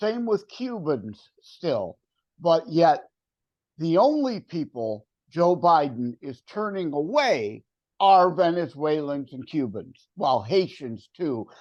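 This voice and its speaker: A very slow, high-pitched man with very wide pitch swings. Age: 60s. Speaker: author and entrepreneur. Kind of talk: casual chat. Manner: assertive.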